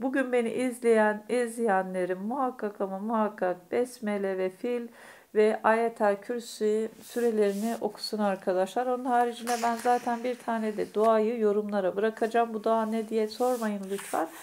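A woman's monotone, flat intonation at a fairly slow pace, with light background noise. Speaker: fortune teller / astrology YouTuber. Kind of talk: fortune-telling monologue to viewers. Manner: hesitant, many filler sounds. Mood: warm, reassuring, spiritual. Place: home room. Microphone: phone near.

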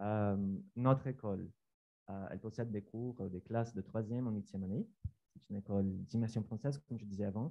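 A man's dark, mellow tone at a fairly quick pace. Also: fairly low pitch for a man, fairly even intonation. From Brazil. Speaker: science teacher. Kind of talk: conference presentation. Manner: halting.

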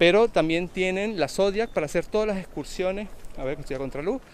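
At a fairly quick pace, a man with a high pitch and ordinary pitch variation speaks in a dry sound with no echo. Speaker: travel vlogger. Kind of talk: casual vlog chat. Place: waterside. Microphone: phone near.

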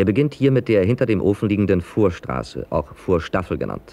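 At a moderate pace, a man with a fairly low pitch and dark, mellow tone speaks with lively intonation and vocal fry. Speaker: narrator. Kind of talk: industrial documentary narration.

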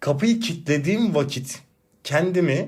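Lively intonation from a man with a high pitch, at a moderate pace. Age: 30s. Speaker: podcast host and teacher. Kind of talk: casual solo monologue. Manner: animated, laughing.

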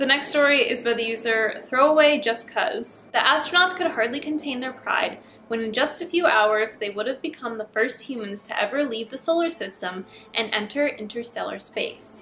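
A woman speaks at a moderate pace in a high voice with ordinary pitch variation, over light background noise. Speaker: YouTuber reading horror stories. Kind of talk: scripted horror story reading with casual commentary. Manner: casual, chatty. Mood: relaxed, playful. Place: home room.

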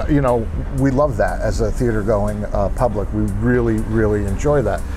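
A man speaks at a fairly slow pace with music playing in the background. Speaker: filmmaker channel host. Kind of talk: casual vlog chat. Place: cafe. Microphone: webcam.

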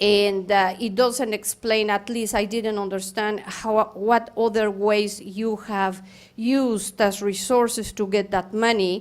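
A woman with a non-native accent speaks at a fairly slow pace and a fairly high pitch, her intonation monotone and flat. The recording is very clean, with a silent background. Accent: foreign. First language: not English. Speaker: public commenter at school board meeting. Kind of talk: public comment. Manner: halting, many fillers.

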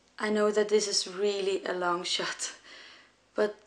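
Speaking at a fairly slow pace, a woman keeps a monotone, flat intonation at a medium pitch. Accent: Danish. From Denmark. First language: Danish. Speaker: young mother. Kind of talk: personal appeal video. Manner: halting.

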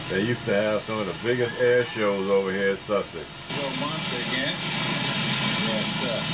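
Over loud background noise, a man talks at a moderate pace with hardly any pauses and ordinary pitch variation. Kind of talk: casual home video narration. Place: open country. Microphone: old recording.

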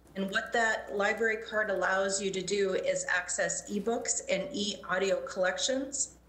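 In a room with audible echo, a woman talks at a fairly slow pace with fairly even intonation. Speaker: city council member; council member. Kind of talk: formal public meeting. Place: home room. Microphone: video call.

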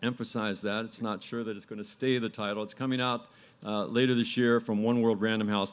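A man at a fairly quick pace with fairly even intonation. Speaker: panel moderator. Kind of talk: moderator introduction. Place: stage. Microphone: podium.

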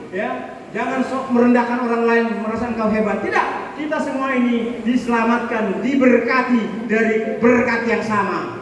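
In a room with strong echo and light background noise, a man with an extremely high pitch speaks at a moderate pace in a monotone, flat intonation. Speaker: preacher. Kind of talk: sermon. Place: church.

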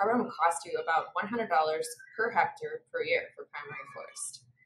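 A woman at a fairly quick pace, with audible room echo and light background noise. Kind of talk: presentation. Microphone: webcam.

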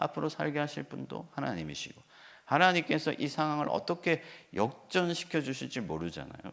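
The pitch swings very widely, with vocal fry. The pace is fairly quick. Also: man. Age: 40s. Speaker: pastor. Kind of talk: sermon.

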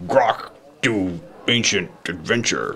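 Growling in a put-on character voice, a man speaks at medium pitch. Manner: dumb.

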